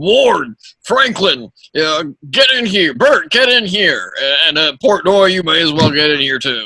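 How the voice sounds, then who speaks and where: Putting on a character voice, a man speaks at a moderate pace in a raised, projected, raspy voice, high in pitch with very wide pitch swings. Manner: gruff, commanding.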